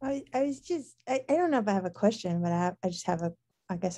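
A woman with an American accent speaks in a dark, mellow tone with ordinary pitch variation. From Alabama, US South. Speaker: pastor. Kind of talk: casual chat. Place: home room. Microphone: video call.

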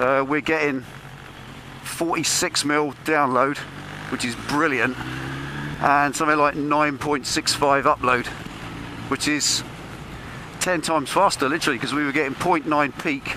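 Amid noticeable background noise, a man talks at a fairly slow pace with monotone, flat intonation and long, frequent pauses, the sound dry with no echo. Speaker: motorbike rider vlogger. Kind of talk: casual vlog chat. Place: motorbike.

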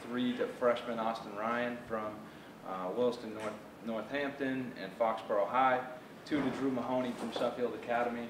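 A man speaks at a moderate pace with monotone, flat intonation. Noticeable background noise runs underneath. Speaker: football coach. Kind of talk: speech to luncheon audience. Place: hall. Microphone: camera far.

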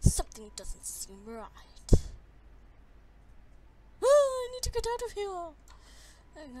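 In a put-on character voice at an extremely high pitch, the speaker goes at a very slow pace with long, frequent pauses over clear background noise.

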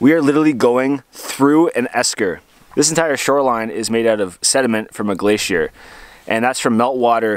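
At a moderate pace and with ordinary pitch variation, a man speaks in a dry sound with no echo. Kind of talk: casual vlog chat. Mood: cheerful, upbeat. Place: boat. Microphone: phone near.

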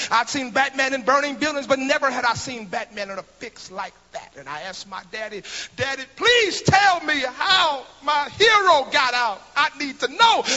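A man speaks at a moderate pace with an extremely high pitch, his voice swinging very widely in pitch and greatly in loudness. Light background noise sits behind him. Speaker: pastor. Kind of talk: eulogy at a memorial service, preached like a sermon. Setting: memorial service before a congregation. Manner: rhythmic preacher cadence with refrains like thank you for the interest; repeats words in bursts as he builds momentum. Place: church. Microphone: handheld.

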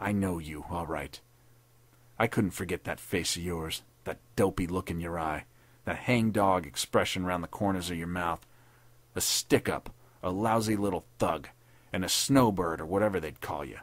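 A man in a put-on character voice speaks with a very deep, low, raspy pitch at a moderate pace, with long, frequent pauses. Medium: read story. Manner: sneering, savage, bitter.

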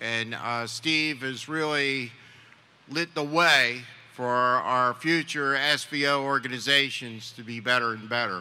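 A man speaks very slowly at a medium pitch, with a bright, sharp tone and fairly even intonation. His loudness rises and falls sharply. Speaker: event emcee and college administrator; event emcee. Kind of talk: formal ceremony remarks, introductions. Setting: live on-campus event with audience. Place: street. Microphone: podium.

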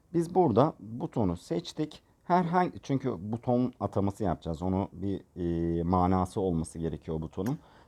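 A man speaks at a moderate pace in a fairly low pitch with a dark, mellow tone and very wide pitch swings. The sound is dry and close with no echo, over a quiet background. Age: 30s. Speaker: gaming tutorial creator. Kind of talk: tutorial. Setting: voice-over recorded separately from screen capture. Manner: casual, filler-heavy.

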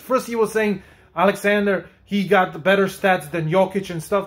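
A man's high-pitched, animated voice at a moderate pace over a quiet background. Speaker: YouTube sports commentator; sports commentary vlogger. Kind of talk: video commentary reacting to clips. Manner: animated, opinionated, sarcastic. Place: home room. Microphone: phone near.

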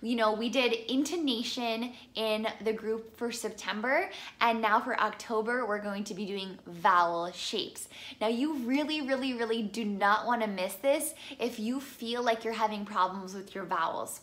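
A woman speaks with a fairly high pitch and a fairly bright tone, at a moderate pace with few pauses and ordinary pitch variation.

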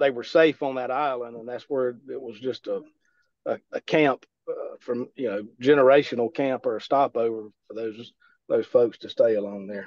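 With a Southern US accent, a man speaks at a moderate pace with fairly even intonation, the sound dry with no echo and the background quiet. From US South. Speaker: audience member. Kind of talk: casual chat. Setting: video call. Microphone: video call.

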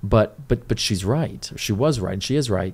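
In an American accent, a man with a fairly low pitch and ordinary pitch variation talks in an unremarkable speaking voice. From Riverside, California; California. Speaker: city council candidate; council candidate. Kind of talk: casual interview. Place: studio. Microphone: studio mic.

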